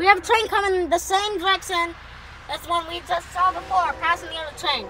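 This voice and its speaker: A woman uses a raised, projected voice at a fairly quick pace, with big swings in loudness. The sound is dry with no echo, though background noise is noticeable. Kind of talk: casual commentary. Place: car. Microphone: phone near.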